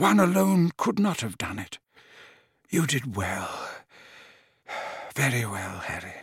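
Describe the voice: Slow and breathy, a man's put-on character voice has a husky, rough edge and big pitch swings in a dry, close sound with no echo. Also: medium pitch for a man, very clean recording, silent background.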